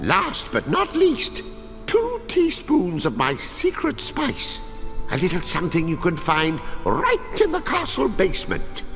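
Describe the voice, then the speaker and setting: Someone performs a put-on character voice at a fairly slow pace over loud music in the background. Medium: machinima. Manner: theatrical, gleeful.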